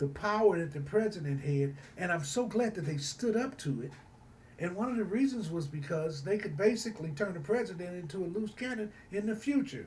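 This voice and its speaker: Against noticeable background noise, a man speaks at a fairly quick pace with a high pitch and lively intonation. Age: 60s. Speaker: student. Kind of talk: recorded class assignment response. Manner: halting, many fillers and repetitions.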